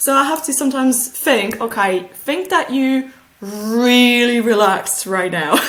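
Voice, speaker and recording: A woman with a slight French accent, high-pitched, with lively intonation at a fairly slow pace, over noticeable background noise. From Switzerland. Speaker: analog astronaut and PhD student. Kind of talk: interview conversation.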